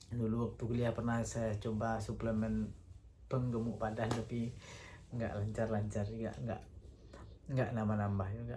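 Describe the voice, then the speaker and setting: Audible room echo surrounds a man with a medium pitch and a dark, mellow, somewhat breathy tone. He speaks at a fairly slow pace with monotone, flat intonation. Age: 30s. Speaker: vlogger. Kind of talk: casual monologue. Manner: hesitant, with fillers.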